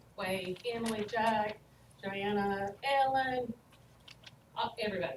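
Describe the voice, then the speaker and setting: A North Carolina accent over noticeable background noise. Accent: Southern US (North Carolina). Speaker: school principal. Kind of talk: presentation to school board. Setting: board meeting.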